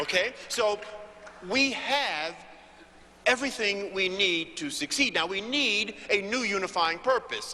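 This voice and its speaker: A man's raised, projected voice in an American accent, high-pitched with lively intonation at a fairly slow pace, over noticeable background noise. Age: 60s. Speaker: motivational speaker on business networking. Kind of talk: panel speech. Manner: emphatic oratory.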